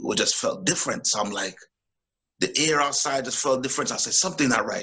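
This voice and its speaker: A man with a Jamaican accent speaks in a bright, sharp tone. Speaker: boxer and teacher. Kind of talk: casual interview chat.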